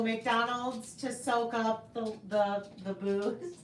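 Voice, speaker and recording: A woman speaks in a fairly high pitch. Noticeable background noise and audible room echo fill the recording. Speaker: knitting podcast host. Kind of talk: casual live stream chat. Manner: loud, voice carries; animated.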